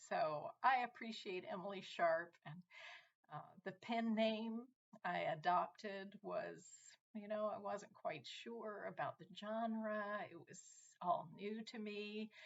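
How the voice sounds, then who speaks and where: A woman's medium-pitched voice, very slow, with lively intonation and big swings in loudness. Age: 60s. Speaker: author. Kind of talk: self-introduction presentation. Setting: virtual book fair video.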